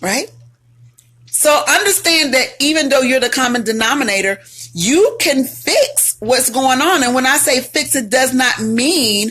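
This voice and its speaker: Loud and animated, a woman speaks with lively intonation at a high pitch and a fairly slow pace. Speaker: relationship advice host and author. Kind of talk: live stream talk. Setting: live video stream.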